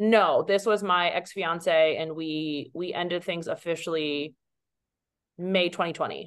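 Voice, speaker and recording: At a fairly slow pace, a woman talks in an ordinary speaking voice with fairly low pitch. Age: 30s. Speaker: Olympic fencer and model. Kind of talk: casual chat.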